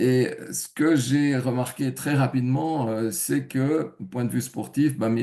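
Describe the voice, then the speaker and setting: This man speaks at a medium pitch in a dark, mellow tone, with ordinary pitch variation. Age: 70s. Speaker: testimonial giver, retired IT engineer. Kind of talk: testimony. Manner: hesitant, many fillers.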